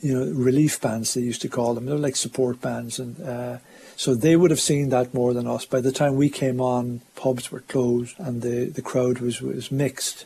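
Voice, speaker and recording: Speaking in an Irish accent at a moderate pace, a man keeps a medium pitch with ordinary pitch variation. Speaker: showband musician. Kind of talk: interview recollection.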